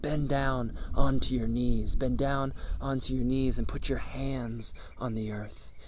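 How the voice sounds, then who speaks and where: A man talks in a put-on character voice at a fairly slow pace. Clear background noise can be heard. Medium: solo performance. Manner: insistent, repetitive, commanding.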